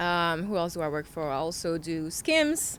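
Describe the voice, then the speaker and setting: A woman with a French accent speaks fairly slowly in a fairly low pitch. The recording is very clean, with a silent background. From France. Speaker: model and influencer. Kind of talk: casual interview chat.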